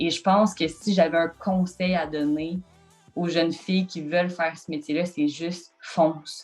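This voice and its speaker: Over music in the background, a woman talks at a fairly slow pace in a fairly low pitch with monotone, flat intonation. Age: 20s. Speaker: sports journalist. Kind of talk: interview answer.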